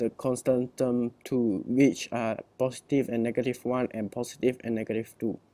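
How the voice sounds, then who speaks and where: Speaking at a fairly slow pace with a non-native accent, a man has a dark, mellow tone and medium pitch, in a dry, close sound with no echo. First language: not English. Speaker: student presenter. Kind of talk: class presentation. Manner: halting.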